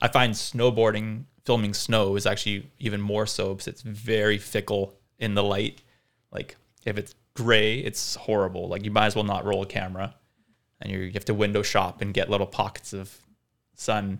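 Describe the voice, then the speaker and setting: On a very clean recording with a silent background, a man speaks at a moderate pace with monotone, flat intonation. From Vancouver, Canada (born in South Africa). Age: 30s. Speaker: cinematographer. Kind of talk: casual interview.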